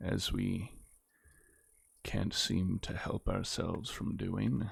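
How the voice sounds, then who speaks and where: A soft-spoken man talks at a very slow pace and a fairly low pitch. His intonation is lively. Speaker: gaming YouTuber. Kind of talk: gameplay commentary. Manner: quiet.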